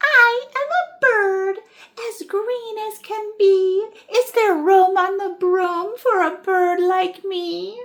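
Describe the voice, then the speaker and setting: A woman puts on a squeaky character voice at an extremely high pitch. She talks at a very slow pace. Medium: read story.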